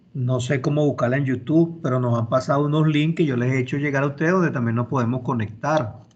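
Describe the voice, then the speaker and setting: Somewhat breathy and very fast, a man speaks at a medium pitch with hardly any pauses, fairly even intonation and very even loudness. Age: 60s. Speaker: university law professor. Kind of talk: online class lecture. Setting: video call.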